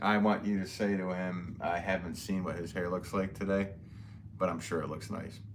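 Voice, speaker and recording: This man's voice is very deep and low, with monotone, flat intonation. He speaks at a moderate pace, and room echo can be heard. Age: 40s. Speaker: potter live-streaming. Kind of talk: casual chat. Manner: halting.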